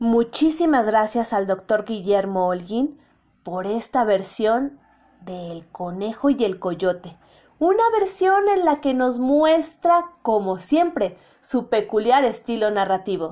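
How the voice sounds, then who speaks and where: Speaking at a very slow pace, a woman moves through very wide pitch swings. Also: fairly high pitch for a woman. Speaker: radio host. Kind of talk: radio hosting.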